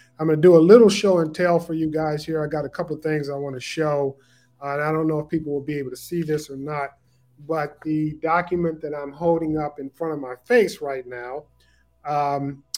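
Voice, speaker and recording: A man with an American accent and an ordinary speaking voice talks at a moderate pace, fairly high in pitch, with fairly even intonation. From Southeast Texas (Beaumont). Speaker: family historian, son of civil rights attorney. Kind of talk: interview.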